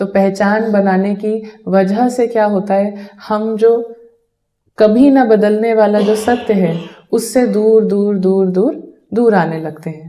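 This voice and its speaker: This woman's voice sits fairly high in pitch and has a dark, mellow tone. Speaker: meditation teacher. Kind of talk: spiritual talk.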